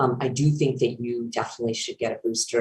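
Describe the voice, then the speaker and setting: A woman speaks in a very deep, low, somewhat breathy voice with fairly even intonation. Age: 50s. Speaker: infectious disease doctor. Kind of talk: expert Q&A on a call-in podcast.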